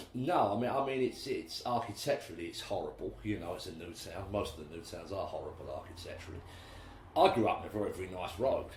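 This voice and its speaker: Amid audible room echo, a man talks at a very fast pace with big swings in loudness. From England, Basildon, Essex (East End roots). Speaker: musician. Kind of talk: interview conversation. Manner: hesitant, many fillers and repetitions.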